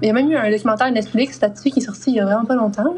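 Over noticeable background noise, a woman with a Quebec accent speaks at a fairly high pitch with ordinary pitch variation. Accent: Québécois French. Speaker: podcast co-host. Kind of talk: casual storytelling podcast.

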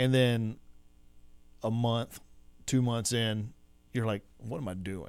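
With a Texan accent, a man speaks very slowly and with fairly even intonation, leaving long, frequent pauses. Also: medium pitch for a man. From West Texas. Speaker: podcast host. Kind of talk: casual interview. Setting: studio.

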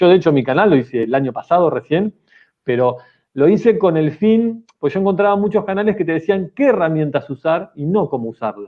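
A man talks at a fairly quick pace in a Rioplatense accent. His pitch is fairly high and his intonation lively. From Argentina, Mar del Plata. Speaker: technology teacher. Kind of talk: casual chat.

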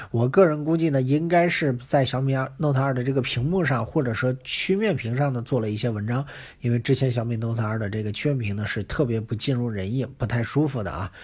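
Speaking in a medium pitch with ordinary pitch variation, the man sounds somewhat breathy. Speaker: tech reviewer. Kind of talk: casual monologue. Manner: halting, many fillers.

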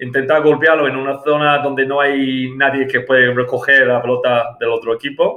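A man at a fairly high pitch, moderate pace and fairly even intonation. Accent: English. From England, small village. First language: English (speaking Spanish). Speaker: amateur cricket club president. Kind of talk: interview. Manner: halting, many fillers and repetitions.

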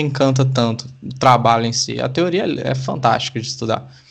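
In a room with audible echo, a man of medium pitch talks at a moderate pace with fairly even intonation. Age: 20s. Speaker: law student. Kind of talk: casual interview chat. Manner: halting, many fillers and repetitions.

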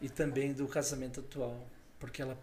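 Audible room echo surrounds a man whose medium-pitched voice is somewhat breathy. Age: 40s. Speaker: elder and international trade professional. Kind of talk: casual chat. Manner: hesitant, repeating words.

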